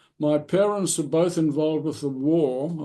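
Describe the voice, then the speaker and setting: Fairly slow and fairly even in intonation, a man talks at a fairly high pitch. His tone is dark and mellow. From South Africa, Eastern Cape (Uitenhage). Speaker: retired architect, school alumnus. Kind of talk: interview, reminiscing.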